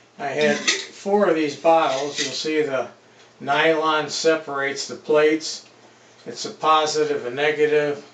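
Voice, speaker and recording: Through noticeable background noise and audible room echo, a man with an American accent speaks fairly slowly at a fairly high pitch, with fairly even intonation and big swings in loudness. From Detroit, Michigan. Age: 70s. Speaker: retired machine repairman and hydraulics mechanic. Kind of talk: casual self-introduction vlog. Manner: casual, with many filler uhs.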